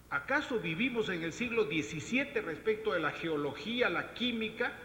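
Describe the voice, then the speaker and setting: Over noticeable background noise, a man projects his raised voice at a high pitch and moderate pace, with lively intonation. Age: 60s. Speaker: government environmental official. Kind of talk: panel discussion. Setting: round table with audience. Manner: animated.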